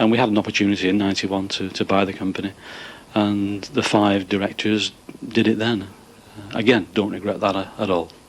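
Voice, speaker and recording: The speaker has a northern English accent. The intonation is monotone and flat. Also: man, fairly low pitch for a man, fairly quick pace. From northern England. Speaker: managing director of a cable manufacturer. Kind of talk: interview on a factory tour.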